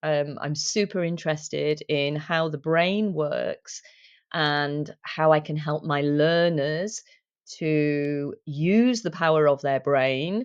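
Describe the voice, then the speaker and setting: With a British accent, a woman of very deep, low pitch talks at a very slow pace with ordinary pitch variation. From UK. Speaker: English teacher and language coach. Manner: hesitant fillers.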